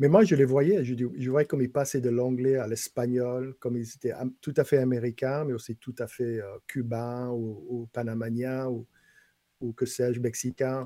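Dry and close with no echo, the voice has a dark, mellow tone, fairly even intonation and a fairly slow pace. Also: man, medium pitch for a man. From Louisiana, Bayou Lafourche (Golden Meadow). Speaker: writer and former head of a French-language council. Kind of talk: casual interview.

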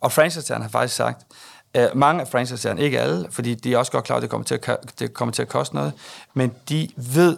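This man delivers his words at a moderate pace. There is a very clean recording with a silent background. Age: 50s. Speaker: company executive. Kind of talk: interview. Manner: hesitant, many filler sounds.

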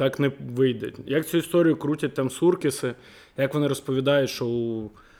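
Here a man with a dark, mellow tone speaks at medium pitch with ordinary pitch variation. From Kyiv, Ukraine. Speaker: football fan. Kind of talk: casual podcast discussion.

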